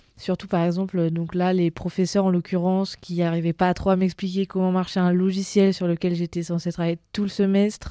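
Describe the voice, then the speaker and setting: Over a very clean recording with a silent background and dry, close sound with no echo, a woman at a medium pitch talks at a fairly quick pace with hardly any pauses, her tone dark and mellow and her intonation monotone and flat. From southern France, near Nice. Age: 20s. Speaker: tourism master's student. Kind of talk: casual chat.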